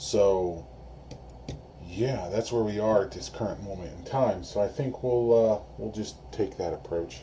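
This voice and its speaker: A soft-spoken man talks at a fairly slow pace, with a dark, mellow tone and big swings in loudness. His pitch is fairly low with ordinary pitch variation. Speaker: electronics repair youtuber. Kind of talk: tutorial. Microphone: camera mic distorts when loud.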